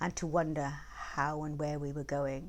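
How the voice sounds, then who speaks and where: A woman's voice with vocal fry, at a moderate pace, on a very clean recording with a silent background. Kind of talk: interview answer.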